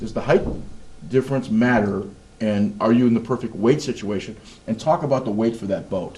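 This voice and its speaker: An unremarkable speaking voice moves along rather quickly, its pitch varying in the usual way. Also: man, medium pitch for a man. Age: 60s. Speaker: show host. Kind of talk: interview.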